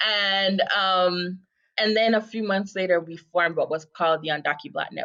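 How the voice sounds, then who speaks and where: This woman has an American accent and a medium pitch. She talks at a moderate pace with fairly even intonation. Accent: slight American-sounding accent over Jamaican. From Jamaica. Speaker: advocacy nonprofit co-director. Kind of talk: podcast interview.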